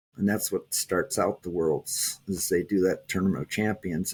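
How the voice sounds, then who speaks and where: A man with a Minnesotan accent on a very clean recording against a silent background. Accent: Minnesota. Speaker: taekwondo champion. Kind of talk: interview. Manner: halting.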